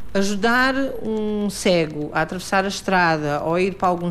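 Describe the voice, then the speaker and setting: A woman with a normal speaking voice at medium pitch talks at a moderate pace, her pitch varying in an ordinary way. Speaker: mobility trainer for the blind. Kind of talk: guided training, casual conversation. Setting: outdoors in the street.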